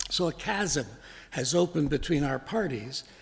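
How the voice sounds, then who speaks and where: A man talks in a somewhat breathy voice. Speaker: minister giving a sermon. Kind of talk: sermon delivered to a congregation.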